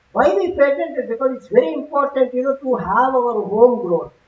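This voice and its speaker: Her voice sits high for a woman, with ordinary pitch variation. This woman keeps a moderate pace. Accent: Telugu. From South India. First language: Telugu. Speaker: conference speaker, technology executive. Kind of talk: conference talk. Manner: conversational, frequent fillers.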